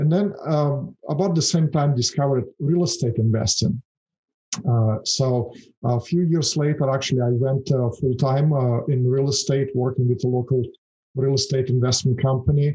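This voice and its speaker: A man speaks at a medium pitch and a moderate pace, with ordinary pitch variation. His tone is dark and mellow, somewhat breathy, with very even loudness. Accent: Russian. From Russia. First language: Russian. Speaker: financial services founder. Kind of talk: podcast interview. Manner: hesitant, many fillers.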